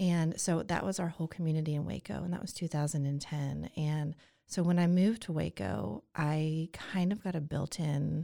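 A woman with an American accent speaks at a very deep, low pitch in a dark, mellow tone, at a moderate pace with ordinary pitch variation, on a very clean recording with a silent background. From Atlanta, Georgia (US South). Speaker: podcast guest, single mother. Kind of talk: casual chat.

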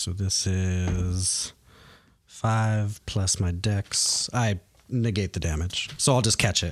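On a very clean recording with a silent background, a man speaks with fairly even intonation. His pitch is fairly low, and he has an unremarkable speaking voice. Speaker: player in the tabletop RPG. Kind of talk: casual tabletop roleplaying game chat. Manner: casual, joking, laughs often.

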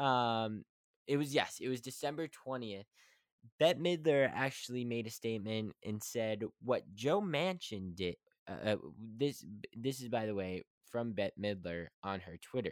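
On a very clean recording with a silent background and a dry, close sound with no echo, a man with an American accent speaks at a medium pitch and fairly slow pace, using lively intonation and long, frequent pauses. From West Virginia. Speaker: podcast host. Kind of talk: casual monologue. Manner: halting.

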